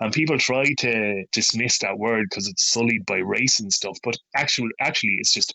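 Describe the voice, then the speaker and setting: At a moderate pace, a man speaks with an Irish accent at a medium pitch. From Ireland. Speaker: poet. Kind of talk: interview. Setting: remote call.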